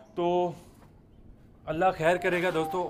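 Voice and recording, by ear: A man speaks at a high pitch with little pitch movement. His pace is fairly slow.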